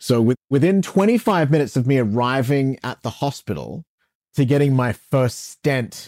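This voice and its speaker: In a very clean recording with a silent background and a dry, close sound with no echo, a man of medium pitch speaks at a moderate pace in an unremarkable speaking voice. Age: 40s. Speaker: radio host. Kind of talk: interview.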